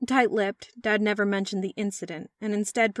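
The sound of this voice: Intonation stays fairly even in an unforced reading voice. Behind it, the background is quiet.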